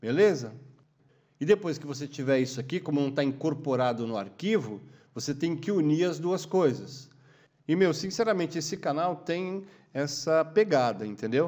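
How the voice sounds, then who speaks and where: Animated and lively in his intonation, a man speaks at a fairly high pitch. His pace is moderate, and the recording is very clean with a silent background. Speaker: photographer and YouTube educator. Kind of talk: casual monologue tutorial. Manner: animated, informal.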